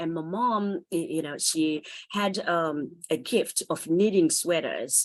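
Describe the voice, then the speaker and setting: A woman speaks with a Zimbabwean accent. Her pace is fairly slow. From Zimbabwe (Harare township). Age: 50s. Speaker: author and motivational speaker. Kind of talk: interview.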